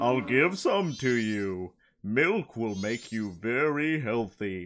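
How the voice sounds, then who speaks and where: Putting on a character voice, a man speaks at a very slow pace and a medium pitch. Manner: playful, gentle, offering milk.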